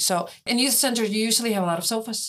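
A woman speaks with an Icelandic accent and ordinary pitch variation. The recording is very clean, with a silent background. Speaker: tour guide. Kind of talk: interview.

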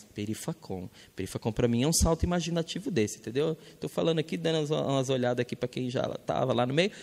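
Speaking at a very fast pace with hardly any pauses, a man of medium pitch uses lively intonation and vocal fry. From northern Minas Gerais, Brazil. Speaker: educator and communicator. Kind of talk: panel talk.

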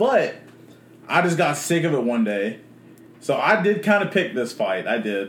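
A high-pitched man's voice at a moderate pace with very wide pitch swings and long, frequent pauses, plus audible room echo. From Memphis, Tennessee. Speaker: podcast guest. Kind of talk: casual chat.

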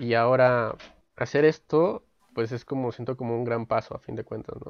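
This is a man with a medium pitch. His intonation is flat and monotone. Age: 20s. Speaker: podcast host, sociology graduate. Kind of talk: casual chat. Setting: video call from home. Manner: halting, repeats words.

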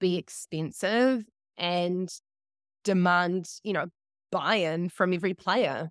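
In a New Zealand accent, a woman speaks at a medium pitch and a fairly slow pace with ordinary pitch variation, in a dry, close sound with no echo. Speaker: climate advertising campaigner. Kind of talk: casual interview. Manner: animated, casual.

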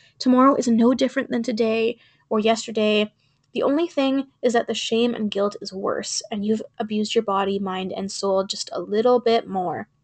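A woman with a normal speaking voice talks at a moderate pace in a fairly high pitch. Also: ordinary pitch variation. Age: 20s. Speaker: podcast host, sobriety advocate. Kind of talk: reading own poem aloud.

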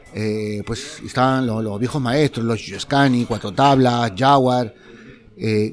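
A man's medium-pitched voice, fairly slow in pace, with fairly even intonation. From Peru, Lima. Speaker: community theatre artist. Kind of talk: interview testimony. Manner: halting, many fillers.

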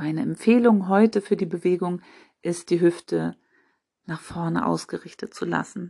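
A woman speaks in an ordinary speaking voice at a fairly low pitch. Her intonation is fairly even against a quiet background. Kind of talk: guided meditation. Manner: slow, calm, soothing; gentle, instructive, addressing listener as du.

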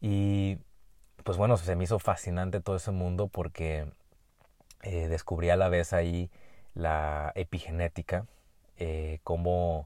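A man with a Mexican accent, a very deep, low pitch and a dark, mellow tone, monotone and flat, at a fairly slow pace with long, frequent pauses, on a very clean recording with a silent background. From Mexico, Jalisco. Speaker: medical doctor and podcast host. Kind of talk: solo podcast monologue. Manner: hesitant with frequent fillers and repetitions.

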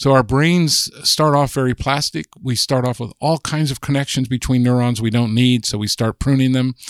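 With an ordinary speaking voice, the speaker moves at a moderate pace with fairly even intonation and hardly any pauses, on a very clean recording with a silent background. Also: man, medium pitch for a man, dry, close sound with no echo. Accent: American. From US West, Southern California. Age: 60s. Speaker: linguist and author. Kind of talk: casual interview.

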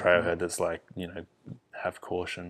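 A man with very deep, low pitch, a bright, sharp tone and a fairly quick pace. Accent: Australian. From Perth, Western Australia. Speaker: videographer and obstacle runner. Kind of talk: casual chat.

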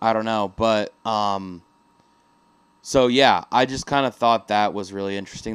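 At a moderate pace, a man speaks in a normal speaking voice, fairly low in pitch with ordinary pitch variation. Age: 20s. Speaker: podcast co-host. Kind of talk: casual chat.

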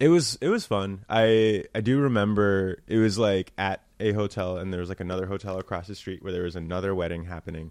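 With an American accent, a man talks at a fairly quick pace in an ordinary speaking voice, fairly low in pitch and fairly even in intonation, against a quiet background. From New Jersey. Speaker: comedian. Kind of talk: casual chat.

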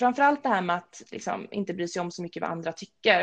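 Vocal fry marks this woman's voice. Her pitch is medium. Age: 30s. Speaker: personal trainer. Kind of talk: casual interview.

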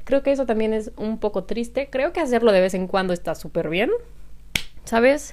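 A woman speaks at a moderate pace in a plain, everyday voice. Her pitch sits fairly high, and her intonation is lively. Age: 20s. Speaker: podcaster. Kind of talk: solo casual monologue. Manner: laughs often.

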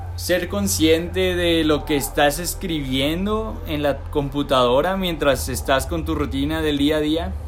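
Over noticeable background noise and audible room echo, a man talks at a fairly slow pace with a medium pitch and very wide pitch swings. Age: 20s. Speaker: podcast host. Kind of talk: casual chat. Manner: halting.

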